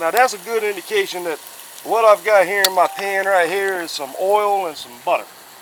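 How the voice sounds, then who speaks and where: At a moderate pace, a man speaks in a high pitch over noticeable background noise. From US South, South Carolina. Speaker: cooking YouTuber. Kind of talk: casual cooking tutorial. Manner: casual, chatty.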